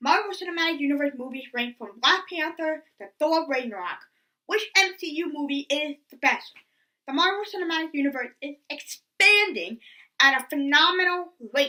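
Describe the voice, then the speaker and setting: At a moderate pace, a woman projects a raised, high-pitched voice with a bright, sharp tone, lively intonation and big swings in loudness. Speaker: movie reviewer. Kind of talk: scripted review narration. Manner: stuttering.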